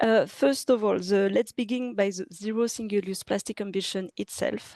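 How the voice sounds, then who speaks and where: Recorded dry and close with no echo, a woman with a French accent speaks at a medium pitch in a dark, mellow tone. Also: ordinary pitch variation, moderate pace. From France. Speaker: city government official. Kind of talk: presentation. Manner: halting, many fillers and restarts.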